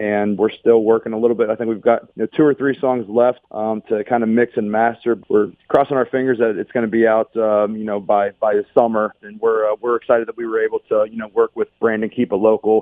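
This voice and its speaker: Speaking at a fairly quick pace with hardly any pauses, a man with an American accent keeps a medium pitch and monotone, flat intonation. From Pittsburgh, Pennsylvania. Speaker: country singer. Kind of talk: radio interview. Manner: halting.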